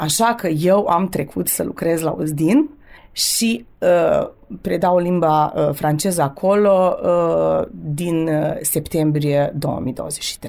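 Very slowly, a woman speaks in a fairly low pitch with a dark, mellow tone and ordinary pitch variation, in a very clean recording over a silent background. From Romanian community of Vojvodina, Serbia (Torac, Banat). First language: bilingual Romanian and Serbian (speaking Romanian). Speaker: French teacher. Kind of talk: radio interview. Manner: hesitant, many filler sounds.

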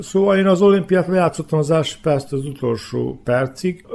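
A man's dark, mellow voice at a fairly slow pace, with lively intonation. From Vojvodina, Serbia (Hungarian minority, Bezdan area). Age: 60s. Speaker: former handball player. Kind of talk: interview. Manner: halting, with repetitions.

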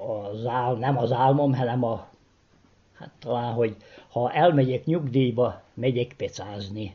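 A somewhat breathy man talks at a fairly slow pace with a Vojvodina accent. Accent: Vojvodina Hungarian dialect. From Vojvodina, Serbia (Kishegyes). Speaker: retired postman. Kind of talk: interview.

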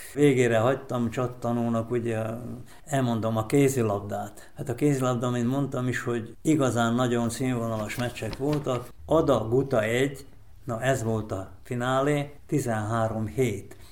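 Audible room echo surrounds a man speaking at a fairly slow pace. His medium-pitched voice keeps fairly even intonation. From Vojvodina, Serbia. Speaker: sports event organizer. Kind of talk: interview.

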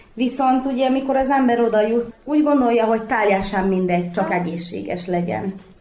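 The speaker moves at a fairly quick pace with lively intonation, amid noticeable background noise and audible room echo. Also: woman. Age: 30s. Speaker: mother of triplets. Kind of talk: interview.

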